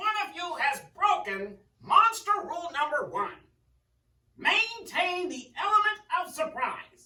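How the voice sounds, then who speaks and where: The pitch sits extremely high. It's a put-on character voice. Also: fairly slow pace. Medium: read story. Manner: formal, instructive.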